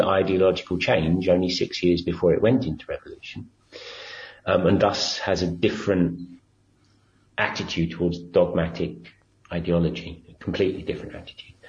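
In an English accent, a man talks at a moderate pace with a somewhat breathy sound. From England. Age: 50s. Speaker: activist at a civil diplomacy centre. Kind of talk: interview. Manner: halting.

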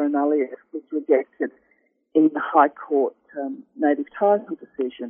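In an Australian accent, the speaker talks at a fairly slow pace with very wide pitch swings. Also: woman. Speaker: law professor. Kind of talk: interview. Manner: halting, many fillers and repeats.

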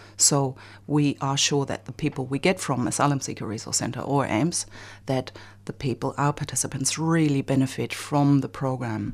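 Speaking with a German accent, a woman uses a very deep, low pitch and fairly even intonation at a fairly quick pace. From Germany. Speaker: bicycle advocacy organization director. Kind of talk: radio interview.

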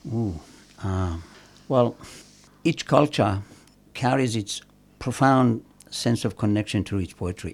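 On a very clean recording with a silent background, a man with a Persian accent speaks. His pitch is medium and his pauses are long and frequent. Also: ordinary pitch variation, fairly slow pace. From Iran, Khorramshahr. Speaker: poet. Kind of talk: interview with poetry reading.

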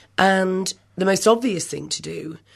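Here a woman talks with an English accent. Her pitch varies an ordinary amount. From England. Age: 50s. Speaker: feminist writer. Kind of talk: radio interview.

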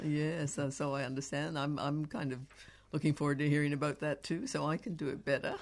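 Delivered at a fairly quick pace with a Canadian accent, the speech has a monotone, flat intonation. The background is quiet. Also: woman, very deep, low pitch for a woman. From Canada. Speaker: radio host. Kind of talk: casual chat.

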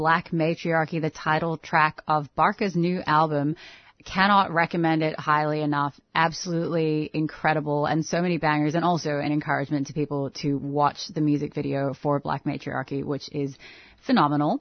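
A woman's pitch is very deep and low. She keeps a moderate pace. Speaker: radio host. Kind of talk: live radio hosting, casual chat. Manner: animated, laughs easily.

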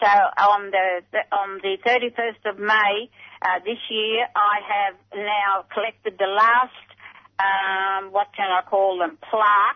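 This woman speaks at a medium pitch. Her intonation is monotone and flat. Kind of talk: interview.

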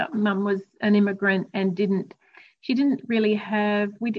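A somewhat breathy woman with an Australian accent, at a fairly slow pace. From Australia, Queensland. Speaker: recovering alcoholic. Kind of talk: interview, personal recovery story.

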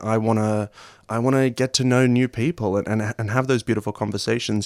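A man with an Australian accent talks at a fairly quick pace and a fairly low pitch with fairly even intonation, in a very clean recording with a silent background and a dry, close sound with no echo. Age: 20s. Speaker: actor and playwright. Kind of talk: radio interview.

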